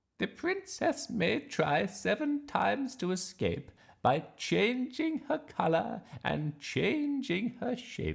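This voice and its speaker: A put-on character voice speaks at a very slow pace with a fairly high pitch. The pitch swings very widely. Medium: read story.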